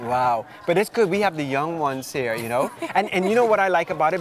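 Talking at a very fast pace with lively intonation, a man sounds dry with no echo over light background noise. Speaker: show host interviewer. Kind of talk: interview questions, casual chat. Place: cafe.

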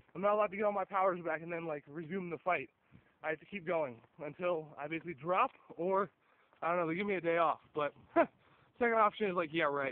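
The man's pitch varies in an ordinary way. He speaks very fast. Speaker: YouTuber, card game player. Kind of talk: casual vlog. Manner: casual, rambling with fillers.

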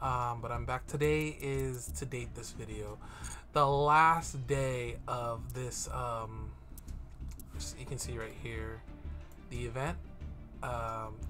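Over clear music in the background, a man speaks at a very slow pace with long, frequent pauses. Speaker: gaming youtuber. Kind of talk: casual gameplay commentary. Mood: relaxed, laughing a bit.

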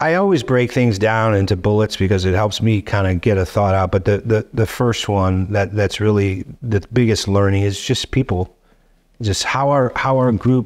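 A man with an ordinary speaking voice talks at a fairly low pitch and a moderate pace. His loudness stays very even, his pitch varies in an ordinary way, and the background is quiet. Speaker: podcast guest. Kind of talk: interview answer. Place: studio. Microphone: studio mic.

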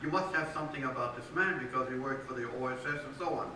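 A man's fairly high voice with fairly even intonation, amid audible room echo and light background noise. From Belgium. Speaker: historian and author. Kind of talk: interview at a public book talk. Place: church. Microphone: camera far.

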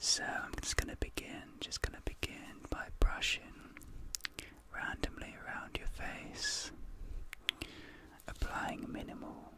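A soft-spoken man talks with long, frequent pauses. The sound is dry with no echo, but loud background noise is present. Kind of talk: soft-spoken ASMR role-play. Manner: soft, slow, intimate ASMR speech. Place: home room.

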